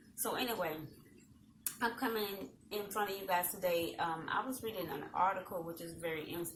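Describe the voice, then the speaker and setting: A woman speaks in a calm tone with a Southern US accent, fairly low pitch and ordinary pitch variation. Audible room echo is present. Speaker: talk show host. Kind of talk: casual chat. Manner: calm, subdued energy.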